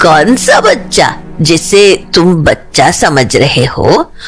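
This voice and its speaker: Over clear music in the background, a put-on character voice at a middle pitch moves along at a very slow pace. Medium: audio drama. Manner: grave, knowing.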